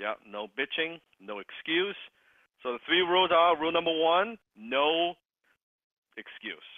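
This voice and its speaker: At a fairly slow pace, a man with a high pitch uses lively intonation, big swings in loudness, and long, frequent pauses. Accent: Cantonese. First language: Cantonese. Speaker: sales coaching program host. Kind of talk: online group coaching call.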